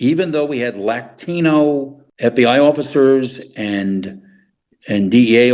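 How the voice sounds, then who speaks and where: This man speaks with an American accent. His intonation is lively. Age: 60s. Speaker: retired intelligence officer. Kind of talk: interview. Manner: halting.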